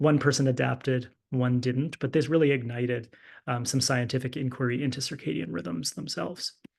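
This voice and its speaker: With vocal fry and ordinary pitch variation, a man talks at a fairly quick pace. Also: medium pitch for a man. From English-speaking Canada. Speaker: physician and clinical fellow presenting research. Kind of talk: lecture.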